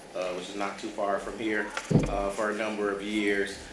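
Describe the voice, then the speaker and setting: Noticeable background noise sits behind this recording, along with audible room echo. A man speaks through it at a moderate pace. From Milwaukee, Wisconsin. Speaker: nonprofit education director. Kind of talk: interview.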